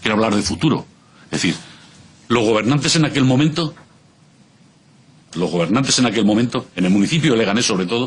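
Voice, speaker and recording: Lively intonation marks this man's medium-pitched voice at a very fast pace. His loudness stays very even, broken by long, frequent pauses. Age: 60s. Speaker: civic association representative. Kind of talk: parliamentary testimony. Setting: regional parliament committee hearing.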